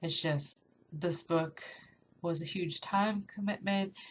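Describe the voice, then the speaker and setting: A somewhat breathy woman at a medium pitch and a fairly slow pace, with fairly even intonation. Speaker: book reviewer. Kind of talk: casual talk to camera.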